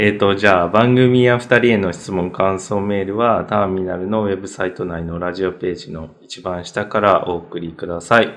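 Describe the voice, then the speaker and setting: With hardly any pauses, a man speaks in a very deep, low pitch and fairly even intonation. His loudness swings widely. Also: moderate pace. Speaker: podcast co-host, gallery owner. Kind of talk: casual chat. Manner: calm, composed.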